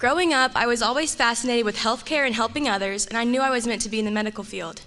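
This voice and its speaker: Speaking at a very fast pace with a fairly high pitch and ordinary pitch variation, a woman comes through over noticeable background noise. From Georgia (Marietta). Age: 19. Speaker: student. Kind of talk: prepared speech.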